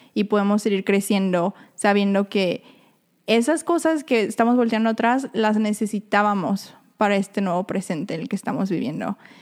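On a very clean recording with a silent background, a woman with an unremarkable speaking voice talks at a moderate pace, her medium pitch showing ordinary variation. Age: 20s. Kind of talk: faith-based casual chat.

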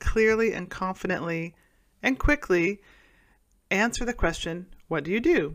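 With an American accent, a woman speaks at a medium pitch and moderate pace with lively intonation, in a very clean recording with a silent background. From Oklahoma, US (Tulsa). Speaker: podcast host and business mentor. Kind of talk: solo podcast monologue.

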